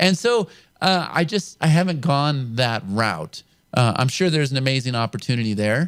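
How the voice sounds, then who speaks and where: A man with an American accent speaks in a plain, everyday voice at a medium pitch and moderate pace. His intonation is lively and his loudness very even. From California. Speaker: show host, internet marketer. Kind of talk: interview.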